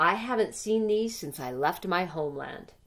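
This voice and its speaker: Using a put-on character voice, a woman sounds gruff at medium pitch, with lively intonation and a moderate pace. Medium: read story.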